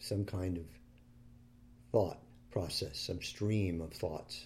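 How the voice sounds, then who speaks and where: A man speaks very slowly at a fairly low pitch, somewhat breathy, with a calm, soothing tone. His pitch variation is ordinary, and he takes long, frequent pauses. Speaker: meditation teacher. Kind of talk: guided meditation. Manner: slow, calm, soothing; gentle, unhurried, with long pauses.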